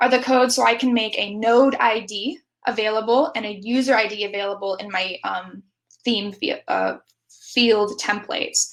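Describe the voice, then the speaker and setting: A woman speaks with ordinary pitch variation. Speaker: conference speaker. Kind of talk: conference talk. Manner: fast; animated.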